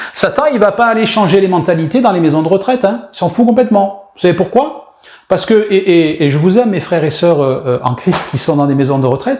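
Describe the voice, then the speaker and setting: Over noticeable background noise, a man with a high pitch and an animated tone talks at a fairly quick pace with very wide pitch swings and hardly any pauses. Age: 60s. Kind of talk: sermon.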